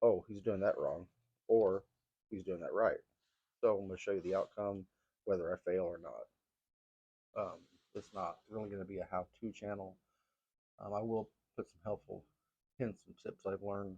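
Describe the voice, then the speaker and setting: A man mumbling with long, frequent pauses and big swings in loudness, in a dry, close sound with no echo. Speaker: gardening vlogger. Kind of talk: casual vlog talk. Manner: fast.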